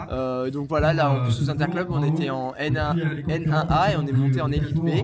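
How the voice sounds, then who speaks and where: A man's fairly high voice at a fairly quick pace with fairly even intonation, with audible room echo and noticeable background noise. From southern France (Montpellier, born in Nice). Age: 20s. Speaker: middle-distance runner. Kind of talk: interview.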